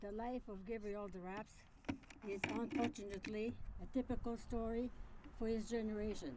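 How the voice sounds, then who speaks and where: A woman's fairly high-pitched voice in a Quebec accent, at a moderate pace with fairly even intonation and long, frequent pauses. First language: French. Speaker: miner's widow giving tribute. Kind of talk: memorial speech. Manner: halting.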